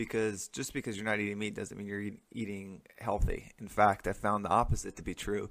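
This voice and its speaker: Delivered at a fairly quick pace with hardly any pauses, the speech has monotone, flat intonation and big swings in loudness. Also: man, fairly low pitch for a man, very clean recording, silent background. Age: 30s. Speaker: podcast host. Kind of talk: motivational monologue. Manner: casual, frequent filler words.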